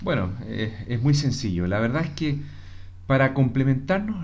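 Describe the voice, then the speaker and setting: Audible room echo surrounds a man's somewhat breathy voice at a medium pitch. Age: 40s. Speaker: commercial engineer, host's husband. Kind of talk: casual conversation.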